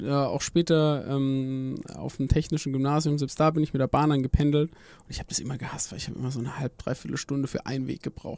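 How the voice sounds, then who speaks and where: A man speaks at a very fast pace with hardly any pauses. His fairly high voice stays in monotone, flat intonation. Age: 30s. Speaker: company founder and PhD researcher in AI. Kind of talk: casual interview.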